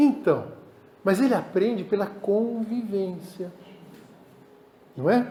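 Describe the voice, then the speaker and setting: A man speaks with a Brazilian accent, with audible room echo. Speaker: pastor. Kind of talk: sermon.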